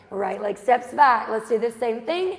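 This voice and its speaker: Over noticeable background noise, a woman speaks in an energetic tone at a fairly high pitch. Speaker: fitness instructor. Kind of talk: workout instruction. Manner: energetic, encouraging.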